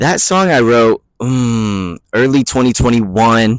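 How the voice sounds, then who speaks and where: A relaxed tone with fairly even intonation. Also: man. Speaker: musician explaining own album. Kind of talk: casual vlog commentary. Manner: relaxed, casual.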